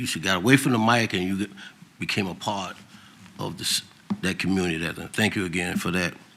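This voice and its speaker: In a room with audible echo and noticeable background noise, a man speaks in a very deep, low voice with ordinary pitch variation. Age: 70s. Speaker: city council member. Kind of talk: council meeting remarks. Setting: council chamber. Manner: halting.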